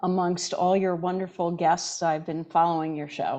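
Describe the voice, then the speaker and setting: A woman with a plain, everyday voice, fairly low in pitch, at a moderate pace with ordinary pitch variation, over a quiet background. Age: 60s. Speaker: chiropractor and natural health doctor. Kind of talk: interview. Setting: podcast interview.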